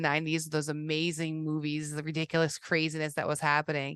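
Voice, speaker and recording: With a Boston accent, a woman with a very deep, low voice talks at a very fast pace, the sound dry and close with no echo over a quiet background. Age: 40s. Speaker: podcast host, carver. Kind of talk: casual chat.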